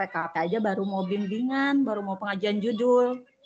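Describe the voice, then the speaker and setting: Somewhat breathy, a woman speaks at a moderate pace in a medium pitch with ordinary pitch variation. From Tangerang, Indonesia. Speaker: university student, school operator. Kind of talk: online tutorial discussion.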